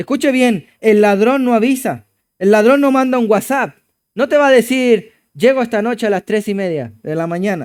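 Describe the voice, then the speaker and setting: A man's high voice with a Chilean accent at a moderate pace, ordinary pitch variation, and a very clean recording with a silent background. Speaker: pastor. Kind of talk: sermon.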